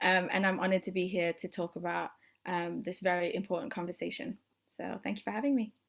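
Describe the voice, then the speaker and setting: This woman talks at a very fast pace. Her voice has vocal fry. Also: medium pitch for a woman, ordinary pitch variation, very clean recording, silent background. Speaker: freelance journalist. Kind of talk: panel discussion.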